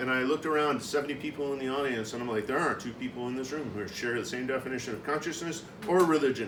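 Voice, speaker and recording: Over noticeable background noise and audible room echo, a man with a fairly high pitch talks at a very fast pace with ordinary pitch variation. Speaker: conference speaker. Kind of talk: conference presentation. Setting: conference room with audience. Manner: loud.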